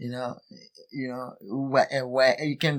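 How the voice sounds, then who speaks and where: At a fairly slow pace, a man with a Haitian accent speaks in a medium pitch with monotone, flat intonation. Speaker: soccer coach. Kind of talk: casual interview. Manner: halting.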